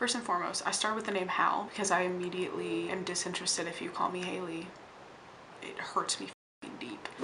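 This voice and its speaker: An animated woman talks at a fairly quick pace with big swings in loudness. Her voice carries audible room echo. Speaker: vlogger. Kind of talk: casual vlog monologue.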